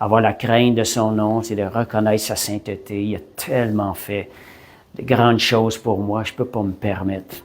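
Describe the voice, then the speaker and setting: This man has a fairly low pitch and a fairly slow pace. His intonation is flat and monotone. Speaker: preacher. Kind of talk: sermon. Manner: halting, repeats words.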